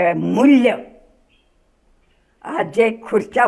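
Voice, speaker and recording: A woman speaks with a fairly high pitch. Her voice carries vocal fry. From Akola district, Maharashtra, India. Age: 80s+. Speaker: freedom fighter. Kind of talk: interview answer.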